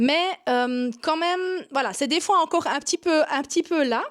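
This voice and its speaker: The speaker has a Swiss German accent and ordinary pitch variation. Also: woman. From Swiss German Switzerland. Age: 40s. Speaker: yoga teacher and online marketing coach. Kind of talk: vlog to camera. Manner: hesitant with frequent 'euh' fillers.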